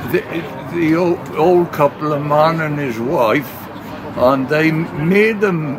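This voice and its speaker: A man in a South Wales accent talks at a very slow pace with a fairly high pitch and ordinary pitch variation. Audible room echo and noticeable background noise surround him. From South Wales, Port Talbot. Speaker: elderly eyewitness. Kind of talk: oral history interview. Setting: public heritage open event. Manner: halting, many hesitations.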